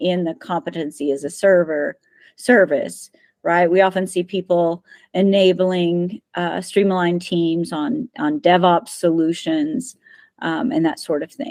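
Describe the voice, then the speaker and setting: Speaking at a fairly slow pace, a woman has a plain, everyday voice at medium pitch. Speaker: agile methods trainer. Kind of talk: presentation.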